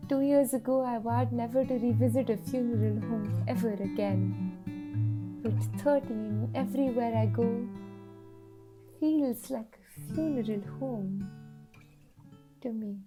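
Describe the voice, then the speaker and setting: A woman's voice with long, frequent pauses and music in the background. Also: fairly slow pace. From India. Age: 20s. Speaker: spoken word poet. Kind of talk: poetry reading.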